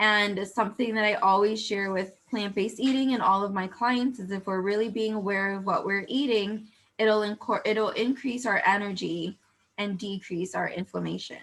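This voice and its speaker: A woman with a plain, everyday voice speaks at a moderate pace, her medium pitch held in fairly even intonation. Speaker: health coach. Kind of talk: online workshop talk.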